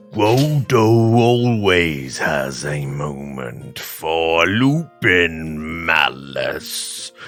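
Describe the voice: In a put-on character voice, a man speaks at a very slow pace with a very deep, low pitch while faint music plays in the background.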